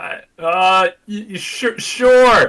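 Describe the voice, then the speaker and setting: He puts on a character voice pitched extremely high. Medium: actual play. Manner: casual, irreverent.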